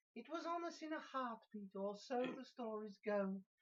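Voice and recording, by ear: Here the text is heard reading aloud in a natural voice. Lively intonation runs throughout.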